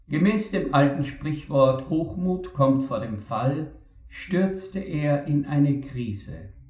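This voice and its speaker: Over noticeable background noise, a man with a fairly high pitch talks at a very slow pace with lively intonation. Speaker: preacher. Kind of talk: sermon. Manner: formal, earnest; measured, reflective.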